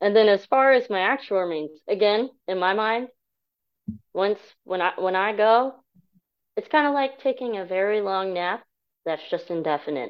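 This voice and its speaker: At a moderate pace with long, frequent pauses, a woman speaks in a medium-pitched voice with lively intonation. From US military family abroad and Nebraska. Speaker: humanist group member. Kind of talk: interview.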